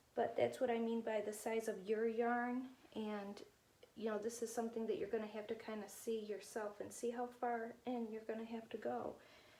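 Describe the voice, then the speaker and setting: A woman talks at a moderate pace with a fairly high pitch. Her intonation is monotone and flat, with noticeable background noise behind her. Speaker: alpaca farmer and weaving demonstrator. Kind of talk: tutorial.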